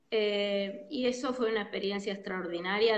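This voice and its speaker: Audible room echo surrounds a woman speaking at a medium pitch. Her pace is fairly slow and her intonation fairly even. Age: 60s. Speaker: psychologist. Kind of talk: interview.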